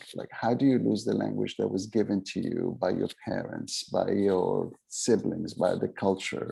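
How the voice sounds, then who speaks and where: A man with an Arabic accent talks with hardly any pauses. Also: fairly slow pace. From Middle East (born in Aden, Yemen; raised in Beirut and Cairo). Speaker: memoirist and author. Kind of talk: literary festival conversation. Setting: literary festival event. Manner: halting, many fillers and restarts.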